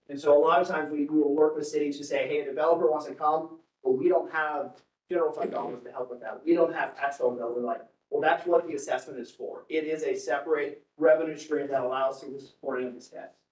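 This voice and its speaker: A man's fairly high pitch at a very fast pace, with fairly even intonation and audible room echo. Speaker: public finance consultant. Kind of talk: presentation to city council. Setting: city council meeting.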